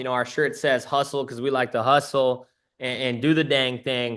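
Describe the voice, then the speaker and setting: Against a quiet background, a man speaks in an animated tone. His voice is bright and sharp. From Canada, Waterloo, Ontario. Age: 20s. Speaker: trading community presenter. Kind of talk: webinar presentation. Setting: video call.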